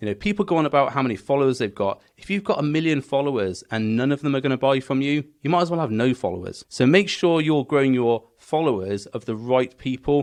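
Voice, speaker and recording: Fairly quick speech from a man with a British accent, fairly high in pitch. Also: quiet background. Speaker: business coach for gym owners. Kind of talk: tutorial. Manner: fast.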